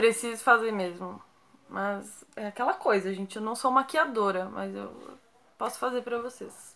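At a fairly slow pace, a woman speaks with ordinary pitch variation and big swings in loudness. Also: fairly high pitch for a woman. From Brazil, São Paulo (Santo André, ABC); São Paulo, Brazil. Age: 20s. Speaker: YouTuber. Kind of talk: casual Q&A vlog. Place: home room. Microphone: phone near.

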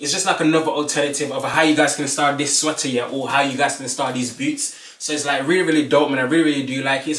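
Talking at a very fast pace, a man with a fairly high pitch is heard with audible room echo. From Birmingham, UK. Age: 20s. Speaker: fashion YouTuber. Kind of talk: casual talk to camera. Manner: upbeat, energetic. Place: home room. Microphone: camera far.

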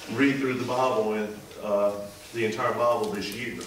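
Over light background noise and with audible room echo, a man talks at a moderate pace with ordinary pitch variation. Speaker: associate pastor. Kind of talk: sermon. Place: church.

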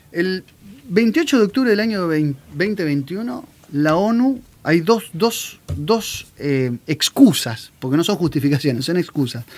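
Pitched high, a man talks at a very slow pace. His pitch swings very widely. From Argentina. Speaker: commentary show host. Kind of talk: political commentary talk. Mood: serious, critical. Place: studio. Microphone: studio mic.

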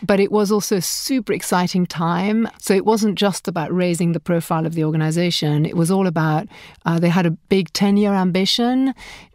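A normal speaking voice moves at a fairly quick pace with ordinary pitch variation on a very clean recording with a silent background. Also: woman, medium pitch for a woman. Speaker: startup founder and entrepreneur. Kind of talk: interview conversation.

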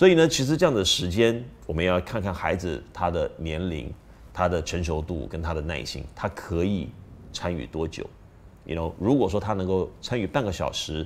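A man speaks with a very deep, low pitch and lively intonation. Light background noise can be heard. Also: moderate pace. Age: middle-aged. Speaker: parenting video host. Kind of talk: casual talk to camera. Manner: hesitant with fillers. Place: studio.

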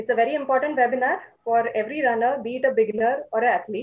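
In an Indian accent, a woman talks at a very fast pace. Her high voice shows ordinary pitch variation. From India, Maharashtra. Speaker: physiotherapy professor and moderator. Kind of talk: formal webinar introduction. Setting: video call. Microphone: video call.

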